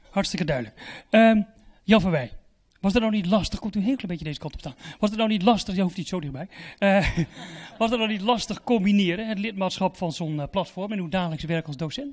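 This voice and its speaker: Here a man speaks very fast in a high pitch. His pitch varies in an ordinary way. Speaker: event moderator. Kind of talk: event hosting. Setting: stage with audience. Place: hall. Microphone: handheld.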